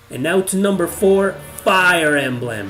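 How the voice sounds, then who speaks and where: Through noticeable background noise, a man with a non-native accent speaks with lively intonation. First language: not English. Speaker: video game YouTuber. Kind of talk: video game top-ten list narration.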